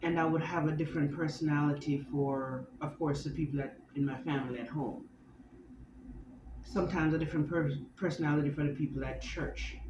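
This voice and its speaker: A woman with a very deep, low pitch speaks at a fairly quick pace and fairly even intonation, with audible room echo. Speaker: vlogger. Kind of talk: personal vlog monologue. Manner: halting with tics and self-corrections.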